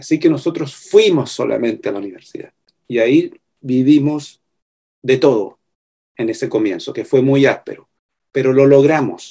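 A man is speaking. His pace is fairly slow. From southern Chile, Mapuche territory. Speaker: filmmaker and visual artist. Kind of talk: interview. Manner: halting.

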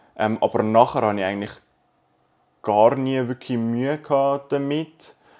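A man speaks in an ordinary speaking voice at medium pitch and a moderate pace. His intonation is fairly even, and the recording is very clean with a silent background. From Zurich, Switzerland. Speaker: podcast co-host. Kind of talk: casual chat.

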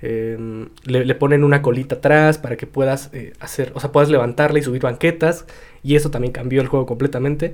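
Fairly high in pitch, a man with a plain, everyday voice speaks at a fairly quick pace and with fairly even intonation. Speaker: podcast host. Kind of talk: casual chat.

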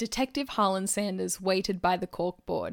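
What we hear is plain reading aloud.

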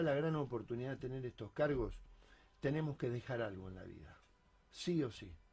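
A man's fairly high, somewhat breathy voice at a moderate pace, with lively intonation. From Argentina, Salto, Buenos Aires province. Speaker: mayor. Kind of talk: radio interview.

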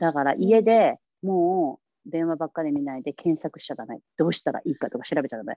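Here a woman with an ordinary speaking voice talks at a fairly quick pace in a fairly low pitch. Her intonation is lively, and her loudness shows big swings. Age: 40s. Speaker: podcast co-host, former flight attendant. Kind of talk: casual chat. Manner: laughs often.

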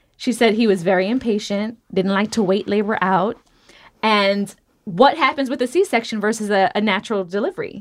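Speaking at a moderate pace, a woman with a fairly high pitch uses an animated tone and ordinary pitch variation. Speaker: podcast co-host and vlogger. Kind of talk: casual chat.

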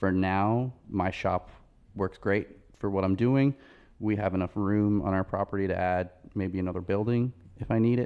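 With an American accent, a man speaks in a plain, everyday voice at a moderate pace, his pitch fairly low, his intonation fairly even and his loudness very even. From Long Island, New York. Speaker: furniture maker and business owner. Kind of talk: interview. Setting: radio studio.

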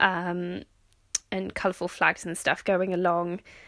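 A woman speaks fairly slowly with a British accent, her pitch fairly low and her tone bright and sharp. Her intonation is monotone and flat, and the recording is very clean with a silent background. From Britain. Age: 20s. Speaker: podcast host. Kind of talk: solo monologue. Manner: halting with frequent fillers; casual and conversational.

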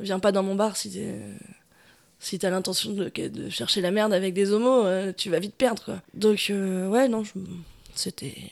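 A woman speaks at a moderate pace, and her pitch varies in an ordinary way. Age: 20s. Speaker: bar owner. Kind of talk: interview. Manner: hesitant, many fillers.

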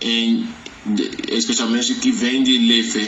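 In a Nigerian accent, a man talks with audible room echo and noticeable background noise. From Nigeria, Lagos. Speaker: interview guest. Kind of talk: interview. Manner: halting, many fillers and self-corrections.

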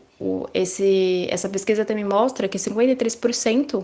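A woman's normal speaking voice, medium in pitch, with fairly even intonation. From Brazil, Guarulhos (São Paulo). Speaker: journalist. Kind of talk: panel discussion. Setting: remote call.

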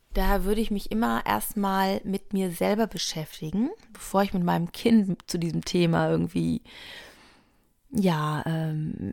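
A woman's fairly low, slightly mellow voice with vocal fry, fairly slow with long, frequent pauses, in a very clean recording with a silent background

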